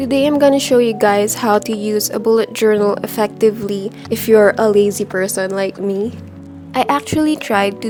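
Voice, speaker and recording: Background music behind a woman with a mid-range pitch at a middling speed. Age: young. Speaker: college student. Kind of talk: casual tutorial talk to camera.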